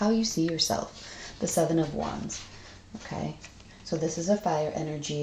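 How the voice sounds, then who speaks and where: A woman with a dark, mellow tone and vocal fry talks at a moderate pace. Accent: American. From Massachusetts, USA. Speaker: tarot reader. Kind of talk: tarot reading to camera. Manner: blunt.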